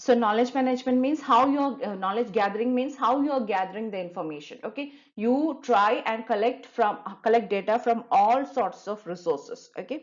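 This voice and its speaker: A woman talks at a fairly quick pace with a fairly high pitch and ordinary pitch variation. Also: hardly any pauses. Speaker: online tutor. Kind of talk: tutorial. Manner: fast.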